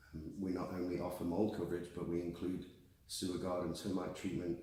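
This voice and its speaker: A man's very deep, low voice sounds dark, mellow and somewhat breathy. He speaks at a fairly quick pace with audible room echo. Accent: British. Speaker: warranty company general manager. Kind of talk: interview.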